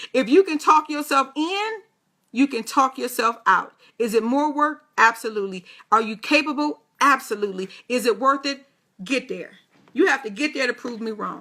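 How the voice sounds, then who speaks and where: A woman's raised, projected voice, high in pitch, with a bright, sharp, animated tone, lively intonation and a moderate pace. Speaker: motivational radio host. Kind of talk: motivational talk.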